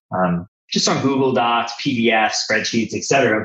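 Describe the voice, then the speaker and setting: A man with an American accent uses a normal speaking voice at a medium pitch, with ordinary pitch variation and a moderate pace. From New Jersey, US. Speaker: business consultant. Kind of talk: interview conversation.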